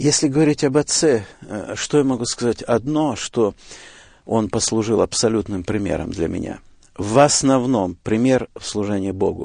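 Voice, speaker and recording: A dark, mellow voice moves at a moderate pace with ordinary pitch variation over a quiet background. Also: man, medium pitch for a man. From Siberia, Russia. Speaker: evangelist preacher. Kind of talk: interview. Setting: radio studio.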